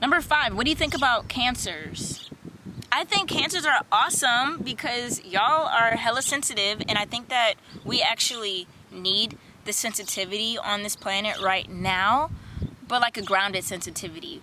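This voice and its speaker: A woman speaks at a moderate pace with a fairly high pitch and lively intonation. Noticeable background noise runs under her voice. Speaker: spirituality vlogger. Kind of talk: casual Q&A monologue. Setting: outdoors in a park. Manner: animated.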